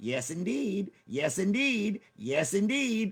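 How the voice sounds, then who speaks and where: A man puts on a high-pitched character voice. He speaks very slowly. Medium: game stream.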